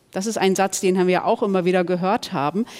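With an ordinary speaking voice, a woman at medium pitch talks at a moderate pace. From Germany, Ruhr area (Duisburg). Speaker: author and columnist. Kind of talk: panel discussion.

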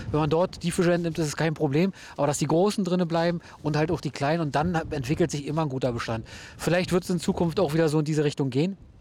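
A man speaks in a Berlin-Brandenburg accent at a very fast pace. His pitch is fairly high and his intonation fairly even. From Brandenburg (Hennigsdorf, near Berlin). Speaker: fishing guide. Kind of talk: casual chat. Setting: outdoors.

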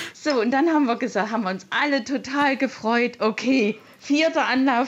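A woman's high voice with ordinary pitch variation, amid noticeable background noise. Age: 60s. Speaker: caller, mother. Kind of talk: phone-in testimony.

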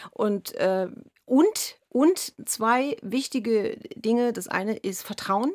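With lively intonation and a fairly high pitch, a woman talks at a very slow pace. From East Berlin, Germany. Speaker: violinist. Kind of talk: radio interview. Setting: radio studio. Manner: halting, many fillers.

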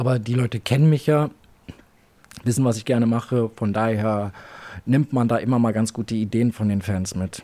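At a moderate pace, a man of medium pitch speaks with fairly even intonation and long, frequent pauses. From Berlin. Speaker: adult content creator. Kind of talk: interview. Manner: casual, filler-heavy.

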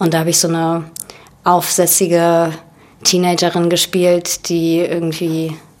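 A woman's fairly low, monotone voice in a Russian accent, flat in intonation and very even in loudness, at a fairly slow pace with long, frequent pauses. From Berlin, Germany. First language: Russian (speaking German). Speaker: actress. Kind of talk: casual interview.

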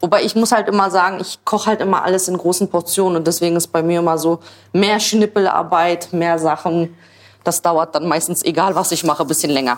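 A woman's plain, everyday voice, fairly low in pitch and at a fairly quick pace. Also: fairly even intonation. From Berlin, Germany. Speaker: social media creator, mother. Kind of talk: casual chat while cooking.

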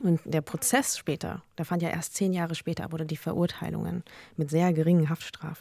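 A woman speaks at a fairly quick pace in a fairly low pitch, her tone dark and mellow and her intonation fairly even, with a dry, close sound and no echo. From Germany, Lower Bavaria. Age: 30s. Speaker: journalist and podcaster. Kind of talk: panel discussion. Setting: studio.

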